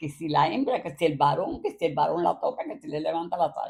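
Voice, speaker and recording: A woman with a Cuban accent, fairly quick, dark and mellow in tone, with very wide pitch swings. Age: 80s+. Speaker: grandmother. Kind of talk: interview answer, reminiscing about childhood.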